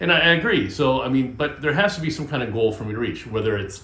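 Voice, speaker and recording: The clip carries audible room echo and noticeable background noise. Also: man. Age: 60s. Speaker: DIY and vlog channel host. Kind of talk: casual vlog monologue. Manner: halting, many fillers.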